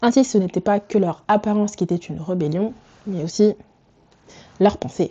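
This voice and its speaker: The speaker is a woman at a medium pitch. Her tone is dark and mellow. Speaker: fashion and culture YouTuber. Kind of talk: video essay commentary. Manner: casual, switches to English asides.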